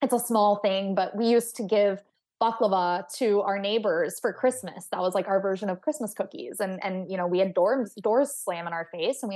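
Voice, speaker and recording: A woman with an unremarkable speaking voice talks at a moderate pace with hardly any pauses, a medium pitch and ordinary pitch variation against a quiet background. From Texas. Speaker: astrophysicist and author. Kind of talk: interview.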